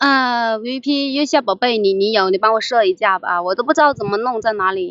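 Barely pausing, a woman talks at a fairly quick pace with ordinary pitch variation. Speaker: fishing livestreamer. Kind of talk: casual live-stream chat while fishing. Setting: outdoors by a river, live stream. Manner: chatty, laughs often.

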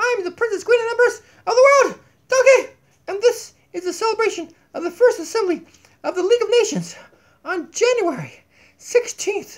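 A cartoonish character voice moves at a fairly quick pace, broken by long, frequent pauses. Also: man, extremely high pitch for a man. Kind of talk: casual talk to camera. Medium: puppet. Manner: silly, exaggerated.

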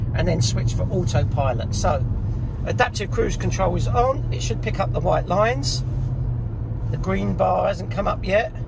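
With loud background noise around him, a man talks at a moderate pace in a dry sound with no echo. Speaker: car reviewer. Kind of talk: tutorial commentary while driving. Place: car. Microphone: phone near.

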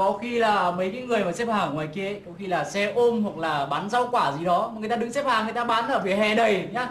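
Light background noise and audible room echo accompany a woman speaking. She talks at a fairly quick pace with ordinary pitch variation and hardly any pauses. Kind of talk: sitcom dialogue. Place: office.

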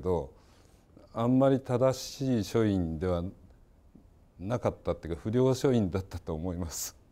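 A dark, mellow tone at a moderate pace. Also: man. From Yokohama, Japan. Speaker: architect, professor emeritus. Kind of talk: reminiscence in panel discussion. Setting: online panel discussion.

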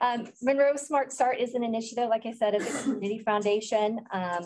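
An ordinary speaking voice from a woman with an American accent, at a fairly quick pace with ordinary pitch variation and light background noise. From US Midwest. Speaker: early childhood program director. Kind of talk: conference presentation. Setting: stage with audience. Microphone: video call.

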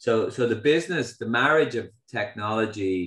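Speaking at a fairly slow pace, a man is heard with audible room echo against a quiet background. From Ireland. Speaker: company founder and CEO. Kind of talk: keynote talk. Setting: online video event with audience. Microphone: video call.

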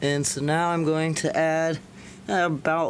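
A man is speaking. His intonation stays fairly even over light background noise. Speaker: home chemistry YouTuber. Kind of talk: tutorial. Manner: casual, conversational. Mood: relaxed, mildly enthusiastic. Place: workshop. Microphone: phone near.

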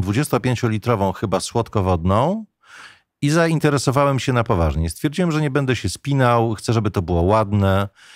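The background is quiet as a man talks. His voice sounds dry, with no echo. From Poland. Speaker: radio journalist, voice actor. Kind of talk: podcast interview answer. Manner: casual, anecdotal. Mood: relaxed, smiling storytelling. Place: studio. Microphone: studio mic.

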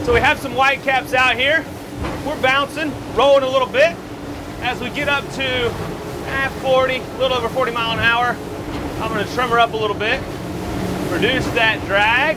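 A man talks with long, frequent pauses. Loud background noise runs behind him. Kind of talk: commentary. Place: boat.

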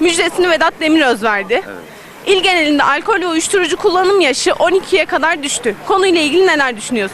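Crowd noise fills the background as a woman talks at a fairly quick pace with an extremely high pitch and lively intonation. Her loudness is very even, there are hardly any pauses, and the sound is dry with no echo. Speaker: street interviewer. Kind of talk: street interviews. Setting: outdoors. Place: street. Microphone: handheld.

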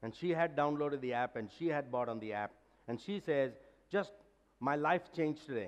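A man with a medium pitch speaks at a moderate pace with lively intonation.

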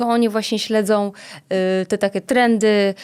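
A woman's plain, everyday voice, fairly high in pitch, at a moderate pace with fairly even intonation, on a very clean recording with a silent background. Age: 30s. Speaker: entrepreneur and dance school owner. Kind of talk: casual chat. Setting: studio.

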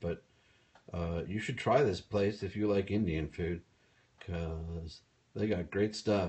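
Somewhat breathy, a man's very deep, low voice carries fairly even intonation. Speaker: livestreamer. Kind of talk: casual vlog chat. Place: home room. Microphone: phone near.

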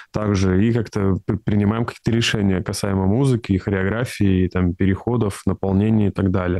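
A dark, mellow tone comes at a fairly quick pace with fairly even intonation, in a dry sound with no echo over a quiet background. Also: man. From Russia, Tyumen; Russia. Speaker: composer; interviewee. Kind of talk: interview. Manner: halting, with many fillers. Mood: calm, thoughtful.

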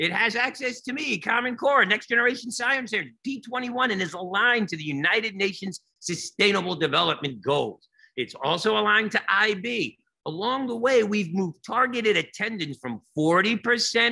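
Against a quiet background, a man uses a raised, projected voice with a bright, sharp tone and lively intonation at a moderate pace. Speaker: educator giving keynote. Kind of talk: keynote presentation. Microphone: webcam.

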